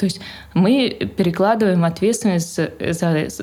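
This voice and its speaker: A woman with a medium-pitched voice speaks with lively intonation. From Moscow, Russia. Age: 20s. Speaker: mother of four, homeschooling parent. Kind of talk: casual interview chat.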